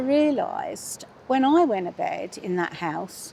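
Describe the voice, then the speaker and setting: Noticeable background noise sits behind a woman's voice. Her pitch is high and swings very widely. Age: 70s. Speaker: stranger interviewed on a bench. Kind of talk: casual chat. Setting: outdoors.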